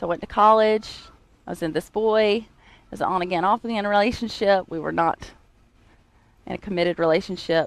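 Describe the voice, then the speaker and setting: A woman with a North Carolina accent and medium pitch talks at a fairly quick pace, her intonation fairly even, with long, frequent pauses. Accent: North Carolina Southern US. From US South, Greensboro, North Carolina. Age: 30s. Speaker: church member sharing testimony. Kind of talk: testimony. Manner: halting, many fillers.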